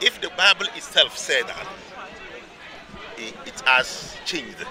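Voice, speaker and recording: Noticeable background noise sits behind a man talking in an animated tone. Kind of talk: heated debate.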